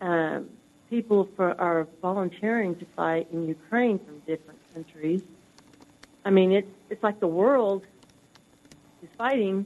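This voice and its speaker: Speaking at a fairly slow pace with long, frequent pauses, a woman uses a medium pitch with ordinary variation and big swings in loudness. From US South. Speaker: caller. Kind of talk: call-in comment. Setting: phone call.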